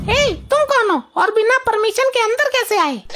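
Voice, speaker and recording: A woman's cartoonish character voice, squeaky and extremely high, at a moderate pace and very even loudness. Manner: sharp, scolding.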